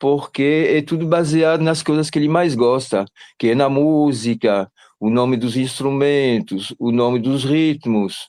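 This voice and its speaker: A man's fairly high voice with a dark, mellow tone, ordinary pitch variation and a fairly slow pace over a quiet background. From Belgium. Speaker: parent of a student. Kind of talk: testimony. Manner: halting.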